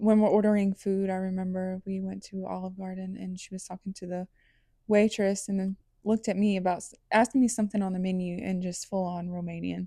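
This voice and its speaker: A woman with an American accent speaks fairly quickly at medium pitch, her tone dark and mellow, her intonation monotone and flat, her loudness swinging widely, on a very clean, dry, close recording with no echo and a silent background. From US South, Atlanta Georgia. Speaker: podcast host. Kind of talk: casual chat.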